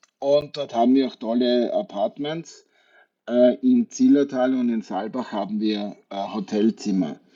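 Talking at a fairly slow pace, a man with a normal speaking voice uses a medium pitch and lively intonation. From Austria, Wachau (Lower Austria). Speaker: hotel group sales executive. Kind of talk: radio interview.

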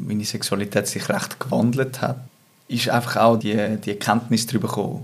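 A man of medium pitch with ordinary pitch variation, moderate pace and noticeable background noise. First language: Swiss German (speaking German). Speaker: interview guest. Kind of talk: personal interview conversation. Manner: halting, many repetitions.

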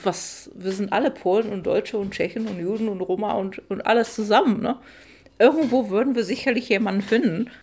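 Medium pitch, ordinary pitch variation and a moderate pace from a woman. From Czech Republic, Moravia (Olomouc). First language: Czech (speaking German). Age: 30s. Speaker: poet and translator. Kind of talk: casual interview. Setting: home kitchen.

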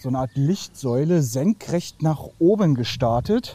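A man's dark, mellow tone comes through somewhat breathy, with lively intonation. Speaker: listener sending voice message. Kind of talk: testimony. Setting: recorded voice message.

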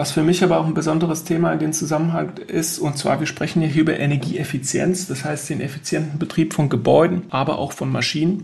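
With a normal speaking voice, a man with a fairly high pitch talks at a fairly quick pace, with hardly any pauses. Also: fairly even intonation. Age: 40s. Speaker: sustainability consultant. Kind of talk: interview.

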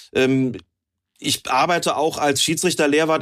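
In a very clean recording with a silent background, a man talks at a fairly quick pace with fairly even intonation and a plain, everyday voice. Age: 50s. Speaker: football referee and referee expert. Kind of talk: casual chat.

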